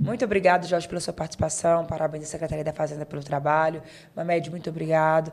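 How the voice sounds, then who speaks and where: Her intonation monotone and flat, a woman with a fairly low pitch talks at a fairly quick pace. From Bahia, Brazil. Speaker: podcast host. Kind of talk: show sign-off; talk show interview.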